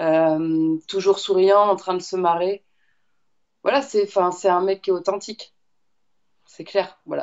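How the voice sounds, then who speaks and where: A woman talks very slowly, leaving long, frequent pauses. Her medium-pitched voice keeps fairly even intonation. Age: 30s. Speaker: fitness coach. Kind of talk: interview. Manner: hesitant, many fillers.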